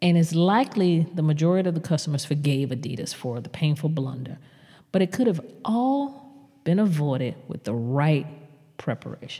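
The voice has a dark, mellow tone and is somewhat breathy, with an American accent. Intonation is lively and the pace moderate. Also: woman, very deep, low pitch for a woman. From US South. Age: 50s. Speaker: podcast host, marketing consultant. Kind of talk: solo podcast commentary.

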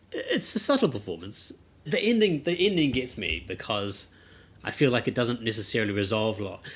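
With very wide pitch swings, a man talks at a fairly quick pace. His voice is somewhat breathy. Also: medium pitch for a man. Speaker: film podcast co-host. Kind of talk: casual chat.

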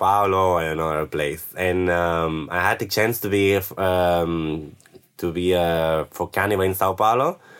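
A man speaks with a Spanish accent. His pitch is very deep and low. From Spain, Barcelona. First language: Spanish or Catalan. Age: 20s. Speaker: backpacker. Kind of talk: interview. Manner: halting.

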